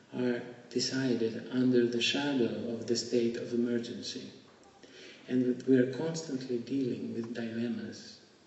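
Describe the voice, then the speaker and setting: A man with a Greek accent at a fairly slow pace, amid audible room echo and noticeable background noise. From Greece. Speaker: keynote speaker. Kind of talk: lecture.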